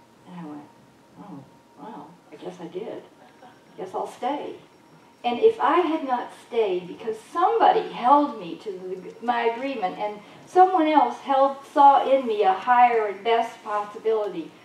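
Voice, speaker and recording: A woman's fairly high voice moves slowly, with very wide pitch swings and big swings in loudness. Noticeable background noise and audible room echo fill the recording. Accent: American. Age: 70s. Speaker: holistic healer and speaker. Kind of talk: spiritual talk to a congregation. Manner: animated.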